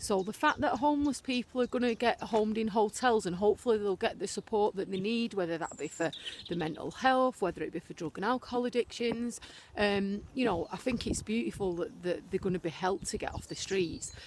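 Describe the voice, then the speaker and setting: Over noticeable background noise, a woman talks at a fairly quick pace. Her pitch is fairly high and her intonation lively. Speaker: vlogger. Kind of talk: casual vlog monologue. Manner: halting, many fillers.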